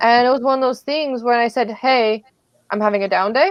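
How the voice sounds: Delivered at a moderate pace, the speech shows ordinary pitch variation. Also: woman.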